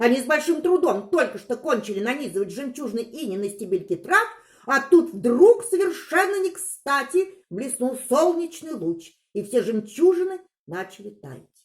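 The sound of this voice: High-pitched woman's voice with a slightly husky edge, big pitch swings and a moderate pace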